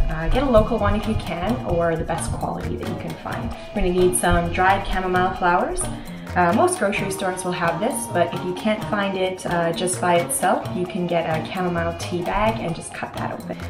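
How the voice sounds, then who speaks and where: A woman talks at a fairly quick pace in a fairly low pitch. Clear music can be heard behind her. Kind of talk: tutorial. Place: kitchen. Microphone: camera far.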